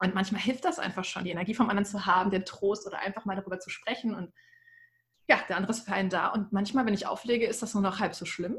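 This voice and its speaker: The voice is somewhat breathy, with fairly even intonation. It moves at a very fast pace. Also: woman, medium pitch for a woman. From Ruhr area, Germany. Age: 30s. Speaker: communications officer and cabaret performer. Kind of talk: casual chat.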